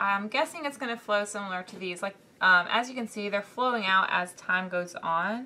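Speaking in a Southern US accent, a woman talks at a fairly slow pace. Her medium pitch shows ordinary pitch variation. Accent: Southern US, country. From US South. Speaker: art YouTuber. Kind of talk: tutorial. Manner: casual, with many fillers.

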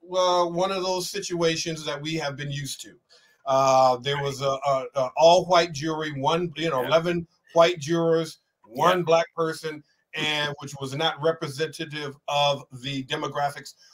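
Against a quiet background, a man speaks at a moderate pace with ordinary pitch variation and big swings in loudness. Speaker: show host. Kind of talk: interview discussion. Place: home room.

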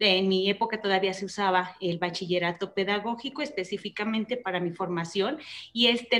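Her intonation fairly even, the woman speaks at a moderate pace. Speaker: guest. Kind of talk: interview answer. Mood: warm, reflective. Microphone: video call.

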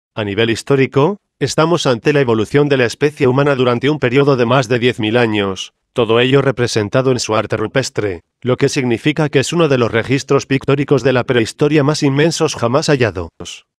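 A normal speaking voice from a man, fairly quick with hardly any pauses, very even loudness, ordinary pitch variation, and a dry, close sound with no echo. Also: medium pitch for a man. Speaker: documentary narrator. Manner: formal, measured, informative.

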